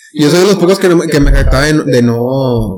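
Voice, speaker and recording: Speaking at a moderate pace, a man with a Mexican accent has a fairly high pitch. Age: 20s. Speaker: podcast co-host. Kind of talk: casual chat.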